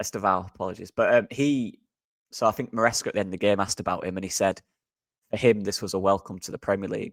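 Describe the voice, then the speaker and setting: Very fast and fairly low-pitched, a man speaks with a Yorkshire accent and fairly even intonation. The recording is very clean with a silent background. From Yorkshire, England. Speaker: football podcast co-host, former video scout. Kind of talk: casual chat.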